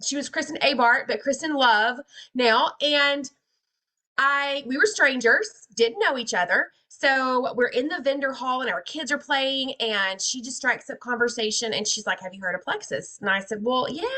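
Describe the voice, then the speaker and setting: A woman with a Georgia accent speaks at a moderate pace in a high voice, her intonation lively. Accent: Southern (Georgia). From Georgia, US South. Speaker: network marketing distributor. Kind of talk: casual testimony on video call. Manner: animated.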